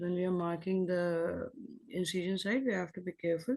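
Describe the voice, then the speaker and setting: A quiet woman's voice with a dark, mellow tone. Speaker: surgical resident presenting a case. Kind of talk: case discussion exam. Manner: quiet, too low; halting, many fillers.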